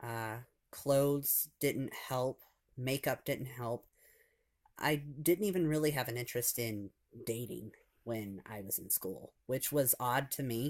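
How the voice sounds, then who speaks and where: Speaking at a fairly slow pace in a medium pitch with an American accent, a man's voice swings a lot in loudness in a very clean recording with a silent background. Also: ordinary pitch variation. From US Midwest (Michigan, Ohio). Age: 20s. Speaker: vlogger. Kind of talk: personal testimony. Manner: halting, many fillers.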